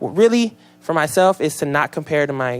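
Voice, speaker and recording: In an American accent, a man speaks with a fairly high pitch. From Seattle area, Washington, US. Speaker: rapper. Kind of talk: casual interview. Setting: radio studio. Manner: animated.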